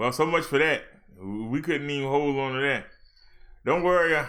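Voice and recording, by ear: A man talks at a moderate pace with a medium pitch. His fairly bright tone shows ordinary pitch variation.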